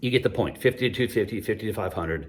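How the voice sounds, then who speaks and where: A man speaks in a somewhat breathy voice. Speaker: employee benefits consultant. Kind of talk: whiteboard explainer talk. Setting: empty office building basement. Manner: fast; animated.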